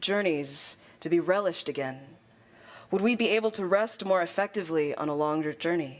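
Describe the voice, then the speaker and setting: At a fairly quick pace and medium pitch, a woman with an unremarkable speaking voice talks with lively intonation. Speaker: poet. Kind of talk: poetry slam performance. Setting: conference stage.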